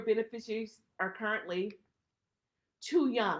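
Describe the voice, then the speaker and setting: A woman's fairly high, bright, sharp voice at a moderate pace, with ordinary pitch variation. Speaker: estate planning attorney. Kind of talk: webinar presentation. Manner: emphatic.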